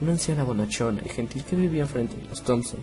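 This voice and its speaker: A man at a fairly quick pace, ordinary pitch variation, music in the background. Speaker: horror story narrator. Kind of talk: horror story narration.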